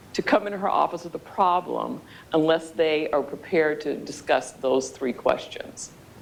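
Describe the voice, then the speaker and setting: Over noticeable background noise, a woman speaks at a moderate pace. Her fairly low voice has lively intonation. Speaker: speaker at a workshop on communication skills. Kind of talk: workshop talk to a live audience.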